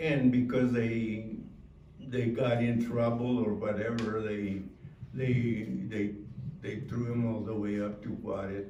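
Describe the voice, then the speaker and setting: In a room with audible echo and noticeable background noise, a man speaks at a very slow pace in a monotone, flat voice at a medium pitch. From El Paso, Texas. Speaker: Navy veteran. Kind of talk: testimony. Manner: halting.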